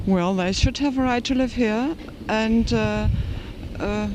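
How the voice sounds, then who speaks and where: The speaker has a German accent and a fairly slow pace. Background noise is noticeable. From Germany. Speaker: interviewee on the street. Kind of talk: interview. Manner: halting.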